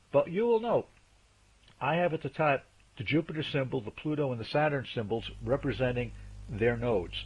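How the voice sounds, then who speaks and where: Somewhat breathy, a man with a medium pitch talks at a fairly quick pace with lively intonation and long, frequent pauses. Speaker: astrologer presenting a video series. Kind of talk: lecture. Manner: fast.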